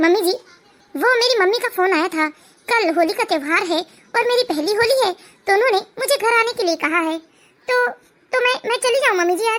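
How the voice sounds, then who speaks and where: In a cartoonish character voice, a woman talks at an extremely high pitch and a fairly quick pace, with lively intonation and very even loudness. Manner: hesitant, stammering.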